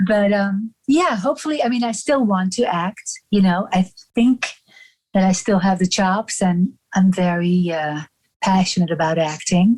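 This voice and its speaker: At a moderate pace and medium pitch, a woman speaks with a strong Dutch accent. Her voice is somewhat breathy, with ordinary pitch variation. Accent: heavy European (Dutch). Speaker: actor and personal assistant. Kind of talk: casual interview chat.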